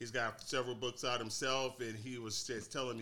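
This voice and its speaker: A man with an American accent, a bright, sharp tone and a fairly quick pace. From St. Louis, Missouri, US Midwest. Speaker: author and songwriter. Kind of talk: casual interview chat.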